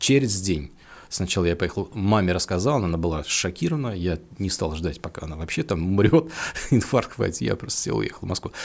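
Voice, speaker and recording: With a very deep, low pitch, a man talks at a fairly quick pace using lively intonation. The recording is very clean, with a silent background. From Russia, Penza region. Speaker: guitar shop founder. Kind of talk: casual interview chat.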